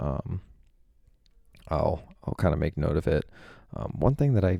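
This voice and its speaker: Quiet, dark, mellow speech at a moderate pace, dry and close with no echo, on a very clean recording with a silent background. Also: man. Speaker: personal finance youtuber. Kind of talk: portfolio review vlog. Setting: hotel room. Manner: hesitant, many ums.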